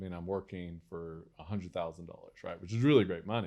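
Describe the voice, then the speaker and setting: The speaker has an American accent and an animated tone, with ordinary pitch variation. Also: man. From West Texas. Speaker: entrepreneur. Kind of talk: interview storytelling. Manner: animated, many fillers and restarts.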